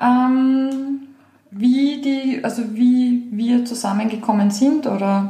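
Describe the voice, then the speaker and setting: A high-pitched woman speaks very slowly with fairly even intonation. Noticeable background noise and audible room echo fill the recording. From Lower Austria, Weinviertel. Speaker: podcast host, entrepreneur. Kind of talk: casual chat.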